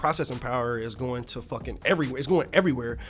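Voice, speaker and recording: Music plays in the background as a man speaks in an animated tone with ordinary pitch variation. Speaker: indie game developer. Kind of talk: casual devlog tutorial. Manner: fast.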